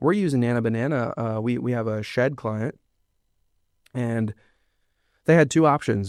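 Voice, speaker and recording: A man with an American accent speaks at a medium pitch. The sound is dry and close with no echo, over a quiet background. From Pennsylvania, Lancaster. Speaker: marketing agency founder. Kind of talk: podcast interview. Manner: fast; animated.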